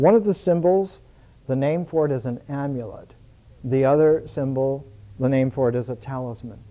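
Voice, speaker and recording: With an American accent and a dark, mellow tone, a man of fairly high pitch talks at a moderate pace with ordinary pitch variation. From United States. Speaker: lecturer. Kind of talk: lecture. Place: home room. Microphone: podium.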